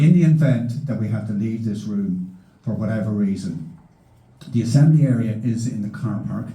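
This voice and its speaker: Speaking with a Donegal accent, a man at medium pitch sounds somewhat breathy, with a dark, mellow tone, lively intonation and audible room echo. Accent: Donegal Irish. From Ireland, County Donegal. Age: 60s. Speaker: meeting chairman, journalist. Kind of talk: public meeting chairing and introduction. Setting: hall with large audience. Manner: formal.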